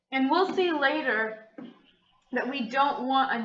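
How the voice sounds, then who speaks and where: A woman talks at a moderate pace, and audible room echo lingers around her voice. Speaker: math teacher. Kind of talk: video lesson tutorial.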